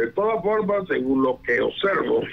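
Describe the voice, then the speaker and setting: A man is speaking. His pace is fairly slow. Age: 60s. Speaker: constitutional lawyer and political analyst. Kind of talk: news radio interview.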